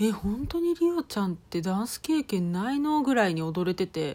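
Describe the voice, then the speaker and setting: Fairly slow female speech at a medium pitch. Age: 30s. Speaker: podcast host, housewife and idol fan. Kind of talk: casual monologue. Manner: animated.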